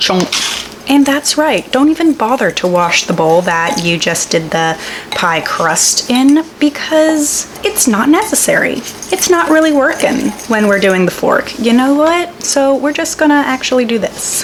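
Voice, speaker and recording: A woman speaks with a high pitch and very wide pitch swings, keeping her loudness very even. Noticeable background noise runs beneath her voice. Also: fairly slow pace. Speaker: home cook, lifestyle vlogger. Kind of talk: casual cooking vlog talk to camera.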